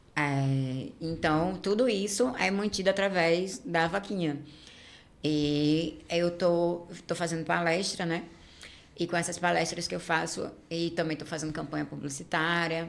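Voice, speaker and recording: Audible room echo surrounds a woman with a fairly low pitch. She talks at a fairly slow pace with ordinary pitch variation. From Rio de Janeiro, Brazil. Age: 30s. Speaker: influencer and activist. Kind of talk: casual chat.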